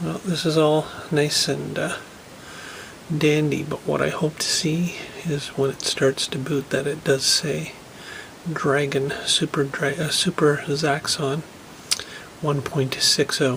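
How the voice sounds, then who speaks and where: Against noticeable background noise, a soft-spoken man talks at a very slow pace and a fairly high pitch, with long, frequent pauses and monotone, flat intonation. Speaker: tech hobbyist video creator. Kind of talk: casual tutorial walkthrough. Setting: laundry room at home. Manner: soft-spoken, speaking quietly.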